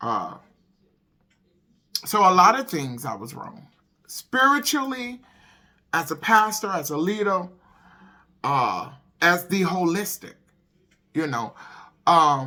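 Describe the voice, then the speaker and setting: A woman's medium-pitched voice with a bright, sharp tone and vocal fry, very wide pitch swings, big swings in loudness, a very slow pace and long, frequent pauses. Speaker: holistic wellness vlogger and pastor. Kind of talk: casual chat.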